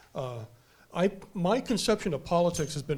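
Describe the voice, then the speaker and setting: This is a man's voice with an American accent. It comes across somewhat breathy. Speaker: author and commentator. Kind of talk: panel discussion.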